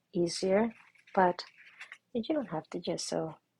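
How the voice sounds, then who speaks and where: A woman whispers quietly. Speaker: art instructor. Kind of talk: tutorial. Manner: quiet, almost whispering.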